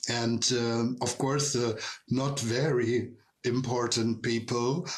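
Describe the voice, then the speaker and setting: A man with a German accent talks at a medium pitch. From Germany. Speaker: drag queen and tour guide. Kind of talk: live online Q&A, casual storytelling. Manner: halting, many fillers.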